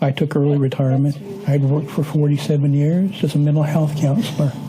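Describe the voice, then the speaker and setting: A man talks very fast in a fairly high pitch with an American accent. His intonation stays monotone and flat over noticeable background noise. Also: very even loudness. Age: 60s. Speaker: retired mental health counselor. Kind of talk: interview testimony.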